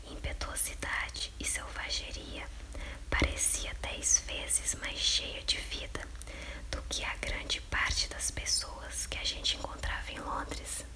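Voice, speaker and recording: Very slowly, a soft-spoken woman whispers over noticeable background noise. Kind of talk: whispered audiobook reading by candlelight. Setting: home, dim candlelight. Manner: whispered, soft.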